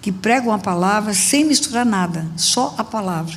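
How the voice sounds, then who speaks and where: Speaking at a fairly slow pace with ordinary pitch variation and vocal fry, a woman with a fairly high voice is heard in audible room echo. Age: 70s. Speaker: pastor. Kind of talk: sermon.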